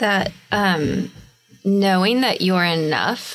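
A woman with an ordinary speaking voice talks at a medium pitch with fairly even intonation. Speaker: podcast co-host, intuitive coach. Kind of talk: casual chat.

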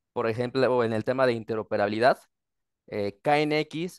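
A normal speaking voice from a man, medium-pitched and with fairly even intonation. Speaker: automation industry executive. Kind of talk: panel discussion. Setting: video call.

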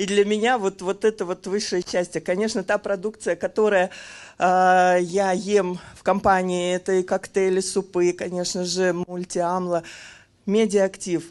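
Her intonation is monotone and flat as the woman speaks at a fairly slow pace. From Kazan, Russia; Russia. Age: 50s. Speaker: customer giving a product testimonial. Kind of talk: testimonial sales pitch. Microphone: handheld.

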